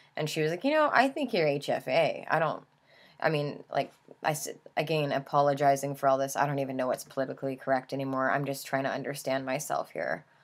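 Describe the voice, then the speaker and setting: Recorded very cleanly against a silent background, a woman speaks at a fairly quick pace with a very deep, low pitch. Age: 20s. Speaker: vlogger. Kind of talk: casual monologue. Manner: halting, many fillers; youthful, teenage-like speech.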